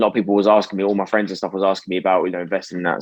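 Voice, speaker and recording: A man with a British accent talks in a monotone, flat intonation. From UK. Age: 20s. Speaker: stock market YouTuber. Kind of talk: interview. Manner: casual.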